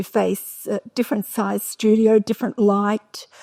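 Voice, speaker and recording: A woman speaks with an Australian accent at a fairly slow pace. The sound is dry and close, with no echo. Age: 70s. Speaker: painter and author. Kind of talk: festival talk interview.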